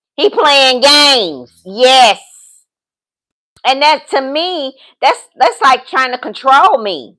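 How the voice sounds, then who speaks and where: A woman projects her high-pitched voice with an upbeat, bright, sharp tone. She speaks at a very slow pace. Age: 50s. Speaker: dating and lifestyle vlogger, business consultant. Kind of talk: casual livestream talk to viewers. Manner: upbeat, sassy.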